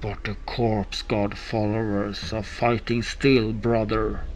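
A man's medium-pitched voice at a fairly slow pace, with clear background noise.

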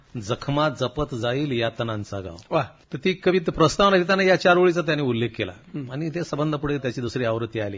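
A man's somewhat breathy, fairly high voice swings very widely in pitch. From Marathwada, Maharashtra (Nanded district). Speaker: writer. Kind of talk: interview. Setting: radio studio.

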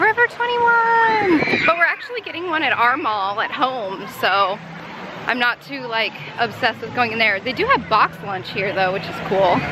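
Over crowd noise in the background, a woman talks at a moderate pace in a dry recording with no echo. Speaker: vlogger. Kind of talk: casual vlog chat. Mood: happy, giggly. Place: street. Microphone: phone near.

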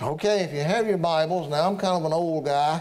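High male voice with fairly even intonation over light background noise. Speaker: preacher. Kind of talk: sermon. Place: church. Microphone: podium.

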